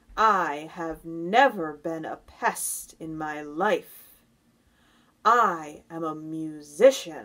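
On a very clean recording with a silent background, a woman uses a put-on character voice at a fairly low pitch and a very slow pace. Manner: slow, scornful, haughty.

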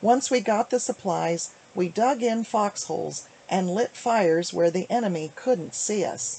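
A woman's dark, mellow tone, fairly slow in pace, with lively intonation and hardly any pauses. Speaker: author. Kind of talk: reading from a book. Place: home room. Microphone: webcam.

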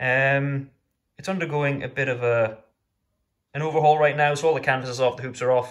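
Somewhat breathy, a man talks at a fairly quick pace with ordinary pitch variation over a quiet background. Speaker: gamer vlogger. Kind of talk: casual vlog chat. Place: home room. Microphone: phone near.

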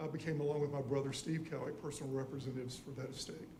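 With a South Carolina accent, a man talks at a fairly high pitch with fairly even intonation, and noticeable background noise and audible room echo fill the recording. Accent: Southern US (South Carolina). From US South. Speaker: public commenter. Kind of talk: public comment at council meeting.

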